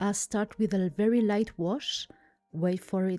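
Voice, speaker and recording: A woman with a strong French accent at a medium pitch and a fairly slow pace, the sound dry and close with no echo, music in the background. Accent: thick French. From France. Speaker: art content creator. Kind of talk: tutorial voiceover. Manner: calm.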